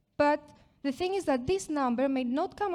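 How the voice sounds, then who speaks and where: A woman with a Greek accent speaks at a moderate pace, her pitch swinging very widely. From Greece. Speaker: product marketing manager. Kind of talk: conference presentation. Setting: stage with audience.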